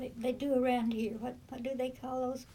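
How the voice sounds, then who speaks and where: A woman's high, dark and mellow voice with an American accent, monotone and flat in intonation, at a moderate pace with audible room echo. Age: 80s+. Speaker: great-grandmother interviewee. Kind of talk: oral history interview. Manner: halting.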